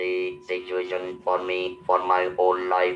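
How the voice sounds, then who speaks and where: The speech has an audible room echo. It moves at a very slow pace. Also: man. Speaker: motivational speaker. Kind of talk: webinar talk. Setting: video call.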